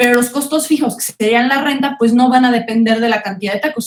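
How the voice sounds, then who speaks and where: A woman with a Mexican accent speaks at a fairly high pitch. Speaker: economics teacher. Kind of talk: online class lecture. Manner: fast.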